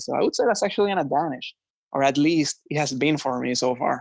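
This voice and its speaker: Speaking fairly quickly with a Puerto Rican accent, a man has a fairly high pitch. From Puerto Rico. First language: Spanish. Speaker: finance executive. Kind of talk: podcast interview.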